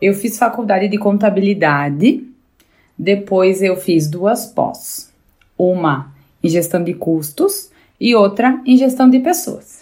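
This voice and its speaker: A woman's very slow, lively-intoned speech. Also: medium pitch for a woman. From Rio Grande do Sul, Brazil (Bento Gonçalves). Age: 30s. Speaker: motivational contributor. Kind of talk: personal talk.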